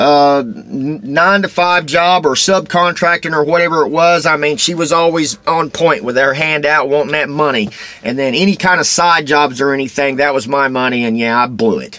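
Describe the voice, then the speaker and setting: Noticeable background noise surrounds a man speaking in a Texas accent at a moderate pace. His pitch is fairly high and his intonation lively. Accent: Texas twang. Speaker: vlogger. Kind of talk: casual vlog monologue. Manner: rambling, halting with fillers.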